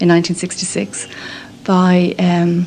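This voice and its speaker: Noticeable background noise sits behind a woman speaking at medium pitch with an Irish accent. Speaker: nun. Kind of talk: radio documentary interview. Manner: hesitant, many fillers.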